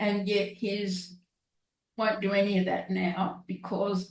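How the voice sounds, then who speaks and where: A woman's somewhat breathy voice at a very slow pace, with an Australian accent. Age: 70s. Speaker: guest, artist and author. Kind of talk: casual chat.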